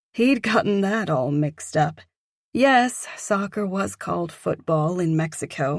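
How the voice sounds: Lively intonation in a natural reading voice, the background quiet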